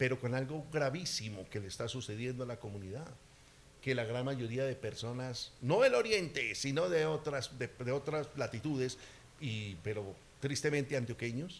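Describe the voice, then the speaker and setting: Speaking at a moderate pace, a man has an animated tone, medium pitch and ordinary pitch variation. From Colombia, eastern Antioquia. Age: 60s. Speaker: political candidate. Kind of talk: campaign interview.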